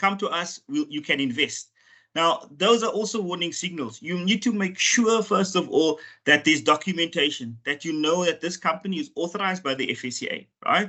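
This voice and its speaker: A man with a high pitch speaks at a fairly quick pace with lively intonation. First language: not English. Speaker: financial regulator official. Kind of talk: webinar presentation. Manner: halting, with repeated words and fillers.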